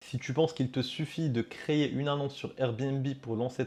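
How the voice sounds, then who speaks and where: A man's medium-pitched, fairly slow delivery in a plain, everyday voice, against a quiet background. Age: 20s. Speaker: Airbnb concierge business owner. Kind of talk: educational vlog monologue. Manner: casual, conversational with fillers.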